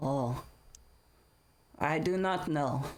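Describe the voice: A man uses a gruff, fairly high-pitched put-on character voice, with audible echo around him.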